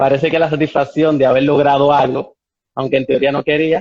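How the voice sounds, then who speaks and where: A man with a slight Cuban accent speaks at a fairly quick pace in monotone, flat intonation. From Cuba, Santiago de Cuba (Oriente). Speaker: ballet dancer. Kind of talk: interview. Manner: halting with repetitions.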